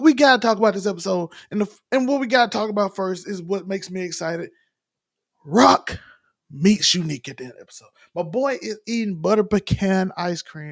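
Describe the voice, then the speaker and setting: Lively intonation and big swings in loudness come through at a fairly quick pace in a Southern US accent. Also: man, high pitch for a man. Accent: Southern country. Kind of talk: casual, relaxed.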